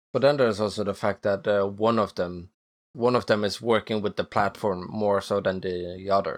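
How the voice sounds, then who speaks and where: This man has a plain, everyday voice, fairly low in pitch and fairly even in intonation, speaking at a moderate pace against a quiet background. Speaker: machinima creator and filmmaker. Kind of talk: casual interview conversation.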